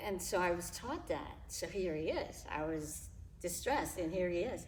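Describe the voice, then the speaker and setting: A woman with an American accent at a fairly slow pace, amid audible room echo. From New York (Harlem), later California. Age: 70s. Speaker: interview guest. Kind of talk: casual interview, personal testimony. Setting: local gym.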